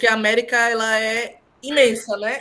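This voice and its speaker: A woman's voice over noticeable background noise. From Northeast Brazil. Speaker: thesis examiner. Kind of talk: thesis defense feedback. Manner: halting.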